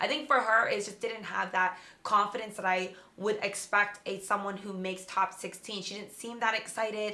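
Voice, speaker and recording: A woman's medium-pitched voice at a moderate pace, fairly even intonation, big swings in loudness, noticeable background noise. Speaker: pageant veteran. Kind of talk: casual chat.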